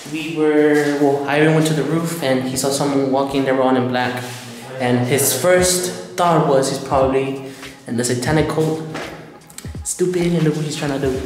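Clear music plays in the background, and there is audible room echo. A man speaks at a moderate pace with fairly even intonation. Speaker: urban explorer vlogger. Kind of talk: casual vlog chat. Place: empty room. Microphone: camera far.

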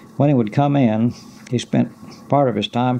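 Light noise is present in the background. The man's intonation stays fairly even. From Ozarks, Arkansas. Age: 60s. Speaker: retired postmaster. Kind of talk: oral history reminiscence. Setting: cassette recording. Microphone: old recording.

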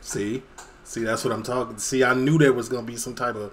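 Ordinary pitch variation over light background noise. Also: man. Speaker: reaction streamer. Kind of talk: casual reaction commentary. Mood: playful, opinionated.

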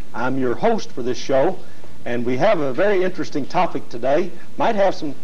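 A man talks at a moderate pace, his intonation lively throughout. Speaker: TV show host. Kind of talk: show introduction. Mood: friendly, smiling. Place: studio.

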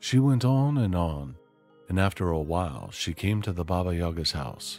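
With music in the background, a man uses lively intonation and a very deep, low pitch, the sound dry with no echo. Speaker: storyteller streamer. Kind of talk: story reading aloud.

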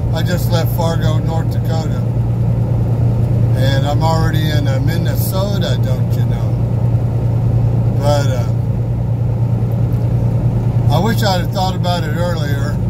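A man speaks at a fairly slow pace with long, frequent pauses over loud background noise. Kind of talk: casual vlog chat. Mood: relaxed, chatty. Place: car. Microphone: phone near.

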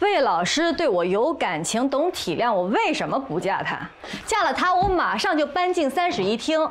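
Female speech pitched high, swinging very widely in pitch. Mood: frustrated, arguing. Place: home room.

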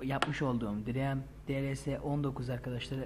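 Audible room echo surrounds a man speaking at medium pitch in a monotone, flat intonation. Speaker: gaming YouTuber. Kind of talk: tutorial.

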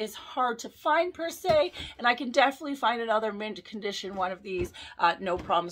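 Her pitch swings very widely as the woman talks. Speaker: toy collector vlogger. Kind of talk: casual vlog chat. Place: home room. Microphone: phone near.

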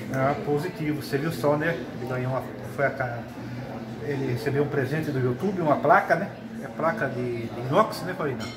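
Someone talks at a moderate pace with ordinary pitch variation over loud background noise. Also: man, fairly high pitch for a man. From Brazil. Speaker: ham radio operator and pizzeria owner. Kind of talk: radio conversation. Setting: ham radio station in a pizzeria. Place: shop. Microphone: camera far.

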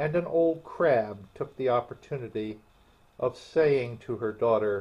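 Here someone simply reads aloud in a plain manner.

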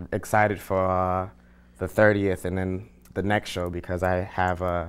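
A man talks at a moderate pace in a low voice with little pitch movement and a clear, smooth tone.

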